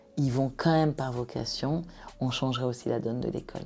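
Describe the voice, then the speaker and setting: A woman with a dark, mellow tone talks at a moderate pace, her pitch varying in an ordinary way. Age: 50s. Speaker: entrepreneur. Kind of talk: podcast interview.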